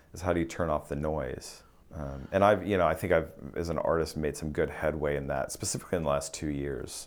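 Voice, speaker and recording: His pitch is very deep and low. This man speaks at a fairly quick pace with fairly even intonation. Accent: American. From US Midwest (central Kansas). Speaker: opera conductor. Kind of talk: interview conversation. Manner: halting, many restarts.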